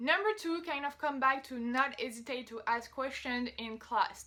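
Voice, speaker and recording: In a French accent, a woman speaks with a raised, projected voice, high in pitch, with a bright, sharp tone and ordinary pitch variation. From France. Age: 20s. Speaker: vlogger. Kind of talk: casual advice vlog. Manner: casual, conversational.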